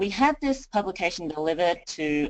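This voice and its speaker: Here a woman talks with an Australian accent. Her pace is moderate. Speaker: county communications designer. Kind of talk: webinar presentation. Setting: webinar.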